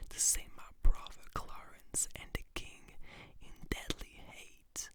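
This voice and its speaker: A woman whispers at a very slow pace. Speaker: ASMR creator. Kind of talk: whispered ASMR reading of a play. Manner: whispered, soft, slow.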